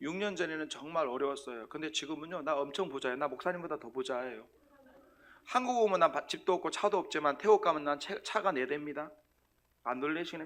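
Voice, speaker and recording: Loud and animated, a man talks at a fairly quick pace in a bright, sharp tone. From South Korea, Sangju, North Gyeongsang. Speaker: missionary preacher. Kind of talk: sermon. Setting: church.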